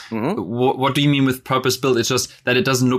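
In a very clean recording with a silent background, a man speaks at medium pitch with fairly even intonation. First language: German. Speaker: podcast host. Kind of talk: casual interview.

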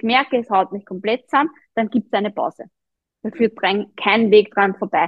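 A woman's ordinary speaking voice, fairly high in pitch, with ordinary pitch variation at a moderate pace. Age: 30s. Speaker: running coach and personal trainer. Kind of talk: interview.

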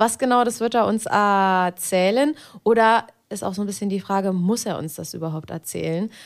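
An unremarkable speaking voice from a woman, medium in pitch with ordinary pitch variation, on a very clean recording with a silent background. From Berlin. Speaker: podcast host and adult film performer. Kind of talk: casual chat.

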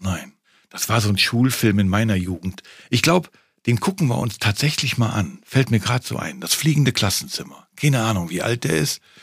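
Somewhat breathy male voice with very wide pitch swings, in a very clean recording with a silent background. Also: medium pitch for a man, fairly quick pace. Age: 60s. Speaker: podcast host, father. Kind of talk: casual chat.

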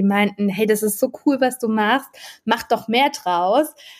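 The pace is moderate as a woman speaks. Her intonation is fairly even. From Freiburg, southwestern Germany. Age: 30s. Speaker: project manager and food blogger. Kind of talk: casual interview.

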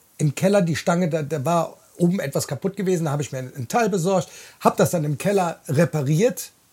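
Over a very clean recording with a silent background, a man talks at a fairly quick pace in a high pitch with a dark, mellow tone. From Bonn, Rhineland. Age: 40s. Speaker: podcast host, truck driver. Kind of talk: casual chat. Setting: in a caravan.

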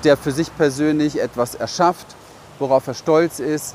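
There is noticeable background noise behind this man. His voice sits at a fairly high pitch, and he talks at a fairly slow pace. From Berlin, Germany. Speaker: business coach. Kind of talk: vlog monologue. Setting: outdoors, walking through a city.

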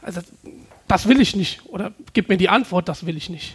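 Ordinary pitch variation in a man's speech. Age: 30s. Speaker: entrepreneur. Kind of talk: talk to a live audience.

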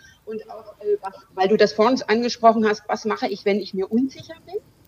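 Over noticeable background noise, a woman with a fairly high pitch uses lively intonation at a moderate pace. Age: 40s. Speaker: lawyer and business coach, breast cancer survivor. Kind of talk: interview.

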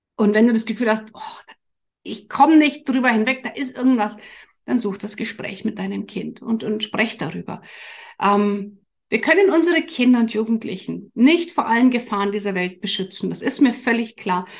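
Her voice sits fairly high for a woman and is somewhat breathy, with ordinary pitch variation. She talks at a moderate pace, and her loudness swings widely. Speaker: family coach and podcast host. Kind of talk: solo podcast monologue. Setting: studio with camera and microphone.

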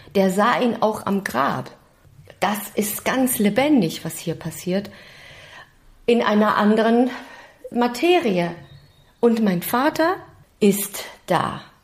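Lively in intonation, a woman speaks at a very slow pace with a fairly high pitch and long, frequent pauses. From Germany, Stuttgart. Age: 50s. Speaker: actress and singer. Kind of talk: interview.

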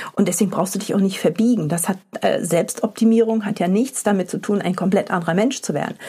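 A woman talks very fast at medium pitch, her tone dark, mellow and somewhat breathy. Her pitch varies in an ordinary way. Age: 40s. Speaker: podcast host and company founder. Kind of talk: solo podcast monologue. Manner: casual, with many filler sounds.

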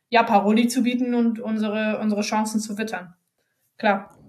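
The voice is somewhat breathy, moving at a moderate pace with monotone, flat intonation. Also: woman. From northern Germany, Bremen. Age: 20s. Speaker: women's football player. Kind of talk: podcast interview. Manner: hesitant with many fillers.

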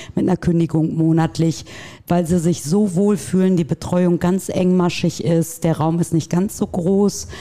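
A woman speaks at a moderate pace in a plain, everyday voice. Her pitch is fairly low and her intonation fairly even. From Dortmund, Germany. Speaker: practice manager. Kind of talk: casual interview.

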